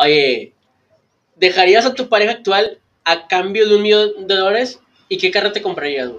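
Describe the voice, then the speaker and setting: Speaking at a moderate pace with long, frequent pauses, a man uses a high voice and ordinary pitch variation. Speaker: podcast host. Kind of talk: casual chat.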